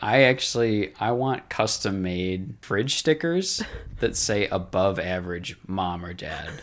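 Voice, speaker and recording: A man talks in a plain, everyday voice at a fairly low pitch and a fairly slow pace. His loudness swings widely while his pitch variation stays ordinary. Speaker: co-host. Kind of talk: casual chat.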